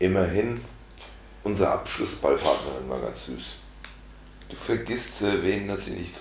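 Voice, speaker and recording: With light background noise and audible room echo, a man speaks at a fairly slow pace. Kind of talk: comic storytelling to camera. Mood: ironic, boastful. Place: home room.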